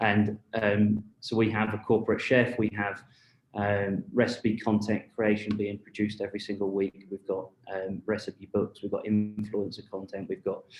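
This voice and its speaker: Music plays in the background as a man speaks at a moderate pace in monotone, flat intonation. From UK. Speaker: marketing executive. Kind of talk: panel discussion. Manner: halting, many fillers.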